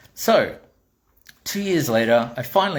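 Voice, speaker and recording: An animated man with a strong Australian accent, lively intonation, and a somewhat breathy quality. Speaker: toy maker and vlogger. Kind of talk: casual storytelling monologue.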